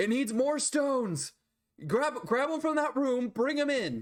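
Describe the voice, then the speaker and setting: Put-on character voice, delivered fairly slowly. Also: man, extremely high pitch for a man. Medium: actual play. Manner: urgent, terse.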